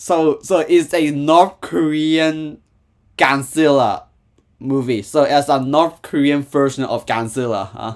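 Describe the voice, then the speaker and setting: In a very clean recording with a silent background, a man with a Hong Kong accent speaks very slowly at a fairly high pitch. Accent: Hong Kong Cantonese-accented English. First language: Cantonese. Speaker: YouTube reactor. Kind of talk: casual reaction commentary. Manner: halting, many fillers and repetitions.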